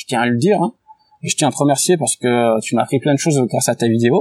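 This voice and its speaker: A man talks at a fairly quick pace in an unremarkable speaking voice with ordinary pitch variation. The sound is dry and close, with no echo. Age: 30s. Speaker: sports betting tipster. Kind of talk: casual interview.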